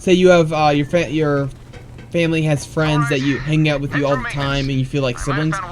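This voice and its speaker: Noticeable background noise sits behind a man's voice. His pitch is fairly high and his pace fairly quick. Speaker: gaming streamer. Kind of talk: casual chat. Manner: halting.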